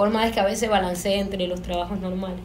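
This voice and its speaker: Noticeable background noise and audible room echo around a female voice. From Panama. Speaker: filmmaker. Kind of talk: panel discussion.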